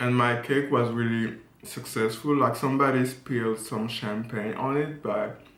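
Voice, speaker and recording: In a room with audible echo and noticeable background noise, a man of medium pitch speaks at a moderate pace with monotone, flat intonation. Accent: French. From France. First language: French. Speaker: fashion model and vlogger. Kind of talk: casual story time vlog.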